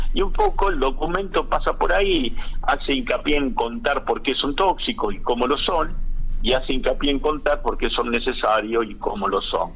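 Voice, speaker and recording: A man's moderate-paced speech is heard against noticeable background noise. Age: 60s. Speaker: agronomist. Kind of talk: radio interview. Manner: halting, many fillers.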